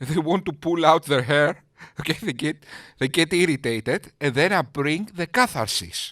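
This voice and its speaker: A man with a Greek accent, fairly high pitch and a bright, sharp tone, in a very clean recording with a silent background and a dry, close sound with no echo. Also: lively intonation, moderate pace. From Greece. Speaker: YouTube commentator. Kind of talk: sarcastic commentary.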